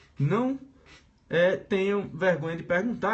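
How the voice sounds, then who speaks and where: Speaking with a Pernambuco accent at a moderate pace, this voice has ordinary pitch variation and audible room echo. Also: man. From Brazil, Pernambuco. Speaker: teacher. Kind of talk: live-streamed lecture. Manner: casual, hesitant with filler sounds.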